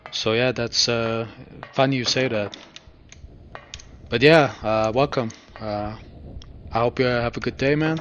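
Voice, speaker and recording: Speaking fairly slowly with long, frequent pauses, a man keeps a fairly even intonation at medium pitch while background noise is noticeable. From Germany. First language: German. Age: 30s. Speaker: video game streamer. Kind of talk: live gameplay commentary. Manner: halting, many fillers; calm, relaxed.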